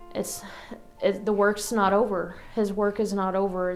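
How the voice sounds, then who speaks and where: A woman's medium-pitched, monotone, flat voice at a moderate pace, with music in the background and audible room echo. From Arkansas. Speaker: church member giving testimony. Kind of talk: testimony. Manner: hesitant, many fillers.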